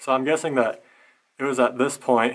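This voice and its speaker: A man speaks at a moderate pace. Behind him, the background is quiet. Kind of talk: exploration commentary. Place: tunnel cave. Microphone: phone near.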